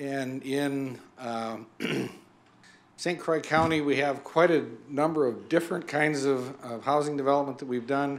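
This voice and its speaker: The delivery is fairly slow, with long, frequent pauses and fairly even intonation. Room echo is audible. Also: man. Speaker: nonprofit representative presenting to county board. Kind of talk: presentation to county board. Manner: hesitant with fillers.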